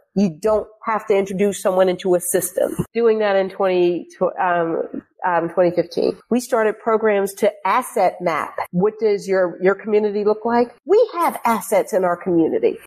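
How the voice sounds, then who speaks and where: In a slight Pittsburgh accent, the speaker keeps a very even loudness, a moderate pace and ordinary pitch variation. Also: woman, medium pitch for a woman. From Pittsburgh, Pennsylvania. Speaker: former police chief. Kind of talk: casual interview chat. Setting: video call.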